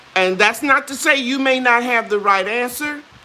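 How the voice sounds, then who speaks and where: A woman talks in a high pitch at a moderate pace. Noticeable background noise runs beneath her. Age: 60s. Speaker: gardening YouTuber. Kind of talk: live stream Q&A. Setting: home kitchen, live stream. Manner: casual, conversational.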